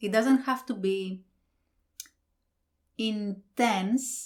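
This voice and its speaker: Over a very clean recording with a silent background, a speaker with a non-native accent talks at a very slow pace with ordinary pitch variation. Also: woman. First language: not English. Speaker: book reviewer. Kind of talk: book review monologue. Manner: hesitant, with fillers.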